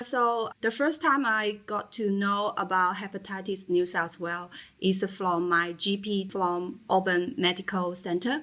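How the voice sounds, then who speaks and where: A woman at medium pitch with a Chinese accent and a bright, sharp tone, at a fairly slow pace with hardly any pauses and ordinary pitch variation, in a very clean recording with a silent background. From China. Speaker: patient advocate speaker. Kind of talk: interview.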